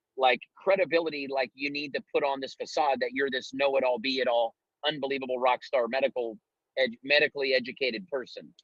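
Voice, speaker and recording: An American accent from a man speaking at a fairly quick pace. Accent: rural Ohio hillbilly twang. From Ohio. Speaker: network marketing leader. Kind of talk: business coaching talk on a group call. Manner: casual, animated.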